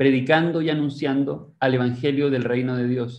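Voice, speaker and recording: A man's plain, everyday voice, moderate pace, fairly even intonation. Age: 20s. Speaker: seminar host. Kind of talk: scripted narration; presentation introduction. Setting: video call. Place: home room. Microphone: video call.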